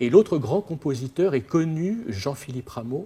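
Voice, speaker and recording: A man speaks in a dark, mellow, somewhat breathy tone with very wide pitch swings, on a very clean recording with a silent background. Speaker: lecturer. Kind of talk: lecture. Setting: opera house with audience. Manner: hesitant, many fillers.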